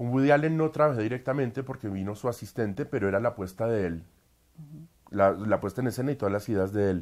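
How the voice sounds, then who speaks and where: Over a quiet background, a man at medium pitch speaks at a very fast pace with ordinary pitch variation. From Colombia. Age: 30s. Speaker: opera singer; interviewee. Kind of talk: interview. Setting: at home. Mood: warm, enthusiastic. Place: home room. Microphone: lapel.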